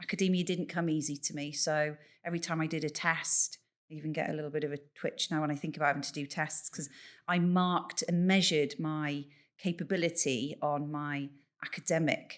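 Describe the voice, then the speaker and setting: A woman with a very deep, low pitch talks at a fairly quick pace with fairly even intonation. The recording is very clean, with a silent background. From Bath, West Country England. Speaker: leadership coach and funeral celebrant. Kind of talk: podcast interview.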